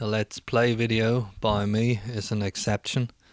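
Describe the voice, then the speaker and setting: In a very clean, dry recording with no echo and a silent background, a man talks in a fairly low, monotone voice with flat intonation. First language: not English. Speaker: retro gaming video creator. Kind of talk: gameplay commentary. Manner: formal.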